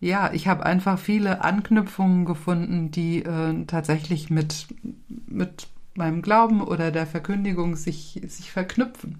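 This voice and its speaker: With fairly low pitch and a somewhat breathy sound, a woman speaks slowly with fairly even intonation. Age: 60s. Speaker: retired pastor. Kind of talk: interview.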